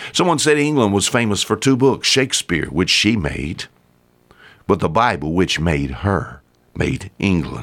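A man with a Southern US accent speaks at a fairly slow pace with vocal fry, a fairly low pitch, very wide pitch swings and very even loudness. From US South. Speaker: radio preacher. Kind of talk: sermon.

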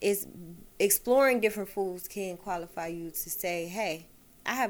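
In an American accent, a woman with an unremarkable speaking voice talks at a moderate pace, medium in pitch with ordinary pitch variation. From Detroit, east side. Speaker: chef and caterer. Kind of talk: casual chat.

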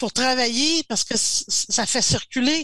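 Here a woman speaks with a Quebec accent, her high voice bright and sharp, with lively intonation. The sound is dry and close with no echo, and the recording is very clean, with a silent background. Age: 60s. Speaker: strategic planning coach. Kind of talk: casual interview.

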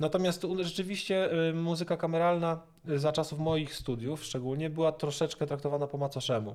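A man with a normal speaking voice, fairly high in pitch, fairly quick in pace and fairly even in intonation. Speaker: cellist and music lecturer. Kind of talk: interview.

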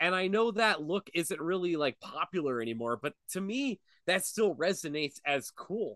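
At a moderate pace, a man with an American accent and a high pitch makes very wide pitch swings, his sound dry and close with no echo against a quiet background. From Pennsylvania, Erie. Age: 30s. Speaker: podcast host (guest here). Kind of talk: casual chat. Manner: animated.

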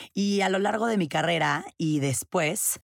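A woman with normal pitch movement is heard on a very clean recording with a silent background. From Mexico. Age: 20s. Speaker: podcast host. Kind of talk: personal monologue.

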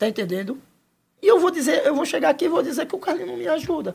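A man speaks with an Alagoas accent, his pitch swinging very widely. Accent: northeastern Brazilian (Alagoas) Portuguese. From Penedo, Alagoas, Brazil. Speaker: local resident sharing stories. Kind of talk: casual interview.

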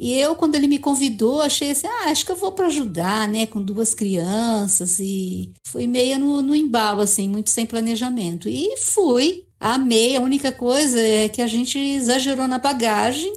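A woman's high voice, lively in intonation, at a moderate pace with hardly any pauses. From Brazil. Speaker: retired public servant and travel blogger. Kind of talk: casual chat.

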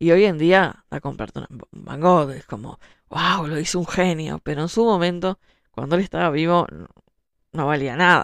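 A woman with an ordinary speaking voice talks at a fairly low pitch and a moderate pace, with ordinary pitch variation. Her loudness swings widely, and the recording is very clean with a silent background. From Uruguay. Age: 30s. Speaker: writer. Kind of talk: monologue talk show.

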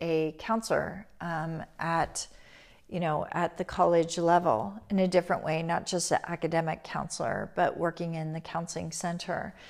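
This woman has an ordinary speaking voice with a fairly low pitch, speaking at a moderate pace on a very clean recording with a silent background. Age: 50s. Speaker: spiritual teacher and podcast host. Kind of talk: personal storytelling monologue. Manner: soft, reflective with frequent fillers.

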